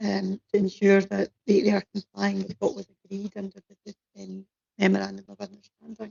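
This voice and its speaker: A woman speaks fairly quickly in a Scottish accent. Her loudness swings widely. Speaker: councillor. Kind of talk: committee meeting. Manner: halting.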